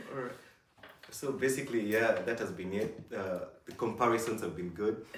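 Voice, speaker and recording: Speaking fairly quickly with a Kenyan accent, a man is heard over noticeable background noise, with audible echo in the room. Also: medium pitch for a man, ordinary pitch variation. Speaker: YouTuber. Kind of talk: casual chat.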